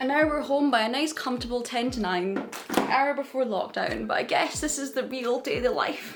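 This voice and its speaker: With music in the background, a woman talks at a fairly quick pace in a high pitch with ordinary pitch variation. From United Kingdom. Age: 20s. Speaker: software developer. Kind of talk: vlog voiceover narration.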